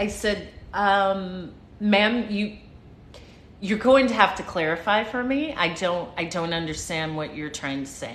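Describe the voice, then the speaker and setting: Speaking at a fairly slow pace with an American accent, a woman at medium pitch uses lively intonation amid audible room echo. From United States. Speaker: livestream motivational speaker, former flight attendant. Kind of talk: casual livestream storytelling. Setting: live stream. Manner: animated, repetitive.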